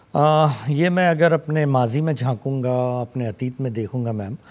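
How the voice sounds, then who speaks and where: A man with a Pakistani accent talks at a fairly slow pace. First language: Urdu (speaking Hindi). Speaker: poet and writer, Hindi lecturer; poet, Hindi lecturer. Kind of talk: TV interview. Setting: studio. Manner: formal. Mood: calm, reflective. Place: studio. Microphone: lapel.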